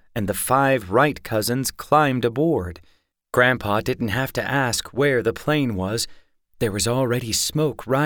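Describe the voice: Over a quiet background, someone does plain reading aloud, with pitch varying in an ordinary way.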